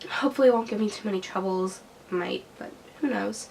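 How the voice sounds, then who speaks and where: Noticeable background noise runs beneath a woman's fairly quick speech. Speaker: book reviewer. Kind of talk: casual talk to camera.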